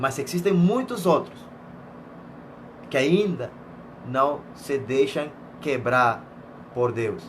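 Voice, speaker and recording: Very slow, somewhat breathy male speech at medium pitch with lively intonation, in audible room echo. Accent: Venezuelan. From Venezuela. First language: Spanish (speaking Portuguese). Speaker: missionary preacher. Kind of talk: sermon.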